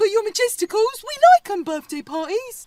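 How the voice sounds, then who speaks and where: A squeaky, extremely high-pitched put-on character voice at a moderate pace. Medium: audio drama. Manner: cheeky, overly familiar.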